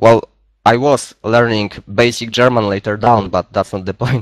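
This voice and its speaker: A man speaks with a Polish accent in a dry, close sound with no echo. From Poland. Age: 20s. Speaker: gaming clan member. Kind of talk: casual group voice chat. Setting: online voice chat.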